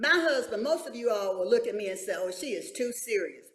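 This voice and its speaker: This woman talks at a moderate pace with a high pitch that swings very widely, and the room echo is audible. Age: 70s. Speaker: church women's leader. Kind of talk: panel talk show discussion.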